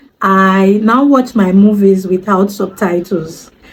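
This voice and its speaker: This woman's voice is somewhat breathy, with ordinary pitch variation. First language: Yoruba. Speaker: language learner vlogger. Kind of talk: casual vlog talk. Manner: hesitant, many fillers.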